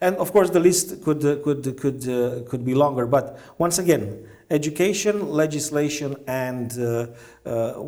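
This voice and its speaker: With a dark, mellow tone, a man talks at a fairly slow pace with ordinary pitch variation, and audible room echo is present. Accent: Romanian. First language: Romanian. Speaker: diplomat. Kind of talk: interview. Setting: conference event. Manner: halting, many fillers.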